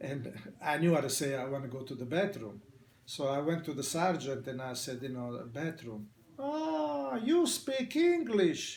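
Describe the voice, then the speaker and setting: In a room with audible echo, a man with an Italian accent speaks at a moderate pace in a fairly high voice. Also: ordinary pitch variation. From Italy. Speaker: immigrant barber. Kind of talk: oral history interview. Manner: halting.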